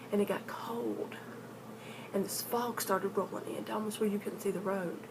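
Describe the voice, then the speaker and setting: A woman with an Appalachian accent talks at a fairly quick pace in a flat monotone, with noticeable background noise. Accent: Appalachian US Southern. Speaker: paranormal storyteller vlogger. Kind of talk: casual storytelling vlog. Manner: halting, repeats words.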